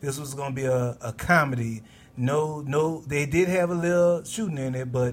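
Moderate pace from a man with an unremarkable speaking voice, pitched fairly high. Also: ordinary pitch variation. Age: 30s. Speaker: podcast co-host. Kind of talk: casual podcast chat.

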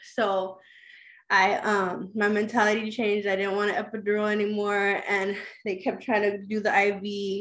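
In a room with audible echo, a woman speaks at a medium pitch and moderate pace with monotone, flat intonation. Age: 30s. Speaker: mother sharing her birth story, aspiring midwife. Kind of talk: personal testimony in an interview.

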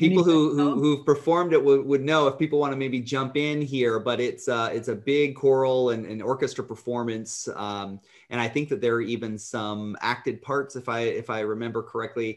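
Talking fairly quickly with hardly any pauses, a man in an unremarkable speaking voice keeps a medium pitch and ordinary pitch variation. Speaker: webinar moderator. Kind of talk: formal introduction and moderating. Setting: video call.

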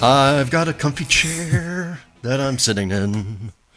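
Using a put-on character voice, a man speaks at a fairly slow pace in a medium pitch with lively intonation. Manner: smooth, laid-back.

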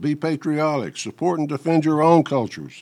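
Fairly high-pitched for a man, this voice has a dark, mellow tone and an American accent. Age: 60s. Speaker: political commentator. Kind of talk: scripted commentary.

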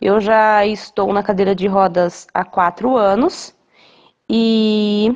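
A woman speaking at a very slow pace. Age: 30s. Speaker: wheelchair user sharing experience. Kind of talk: recorded testimony.

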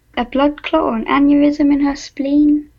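A woman with an English accent and a high-pitched voice. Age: 20s. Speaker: patient sharing story. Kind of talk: interview. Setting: phone call.

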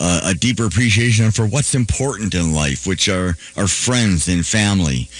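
A man with an Upper Midwest accent, fairly low in pitch, at a moderate pace with lively intonation, very even loudness and hardly any pauses. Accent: Upper Midwest (Minnesota). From Duluth, Minnesota. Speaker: radio DJ and magician. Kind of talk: casual interview.

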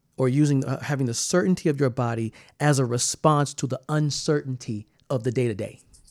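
A man with an American accent talks at a fairly quick pace in an unremarkable speaking voice, medium in pitch with ordinary pitch variation. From US South (Georgetown, South Carolina). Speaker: podcast host and author. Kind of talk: interview conversation; scripted outro.

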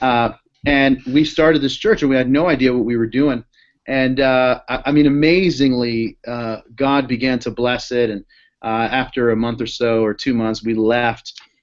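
In a plain, everyday voice, a man speaks at neither a fast nor a slow pace. The intonation is fairly even, and the pitch sits in the medium range. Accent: American. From Boston. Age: 30s. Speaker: pastor. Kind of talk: interview.

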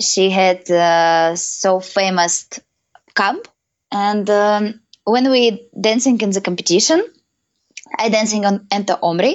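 A woman with a non-native accent speaks very slowly at a medium pitch, pausing long and often. Her pitch varies in an ordinary way, and her loudness stays very even. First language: not English. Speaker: professional belly dancer and teacher. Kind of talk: interview. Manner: halting.

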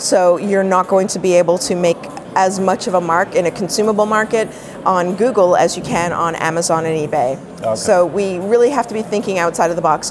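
Noticeable background noise sits behind a woman speaking at a fairly quick pace. Her pitch is medium, with ordinary pitch variation. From Canada, Toronto. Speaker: digital marketing consultant. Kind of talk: interview.

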